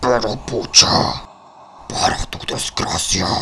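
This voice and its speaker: A man's raspy, put-on character voice at a medium pitch, delivered at a very slow pace over clear background noise. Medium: dub. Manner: threatening, menacing.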